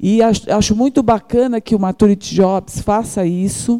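The sound is close and dry, without any echo. A dark, mellow tone comes through. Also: woman. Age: 50s. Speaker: social entrepreneur. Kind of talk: audience testimony. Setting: event hall with audience.

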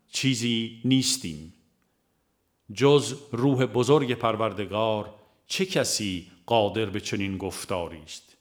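A man's voice of medium pitch with ordinary pitch variation.

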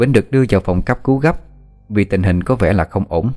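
The voice reads aloud plainly with lively intonation.

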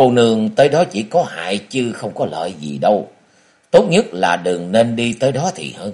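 An unforced reading voice is heard throughout.

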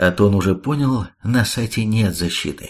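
Natural-voiced reading aloud, its pitch varying in an ordinary way

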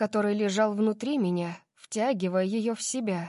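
Quiet surroundings behind a natural reading voice

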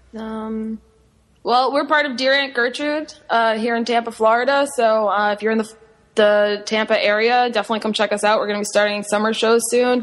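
A woman's ordinary speaking voice, fairly high in pitch, with fairly even intonation. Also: fairly quick pace. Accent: American. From Long Island, New York. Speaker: improv performer. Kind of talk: casual chat.

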